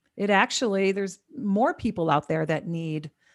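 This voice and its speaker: This woman has a plain, everyday voice pitched in the medium range. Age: 50s. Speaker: cannabis wellness coach. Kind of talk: casual interview. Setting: remote from home.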